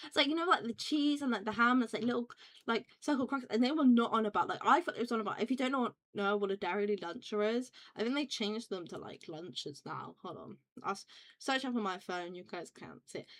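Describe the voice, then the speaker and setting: A woman with a British accent talks at a very fast pace and a fairly high pitch, her intonation lively and her loudness swinging widely. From UK. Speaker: vtuber streamer. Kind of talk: casual chat. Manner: rambling, fast with many fillers.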